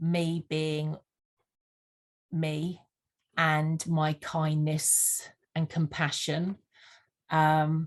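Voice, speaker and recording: This woman, with a slight Sussex accent, talks very slowly in a very deep, low, flat monotone, leaving long, frequent pauses against a quiet background. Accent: slight Sussex twang. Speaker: vision board mentor. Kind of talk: podcast interview. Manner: hesitant, frequent fillers.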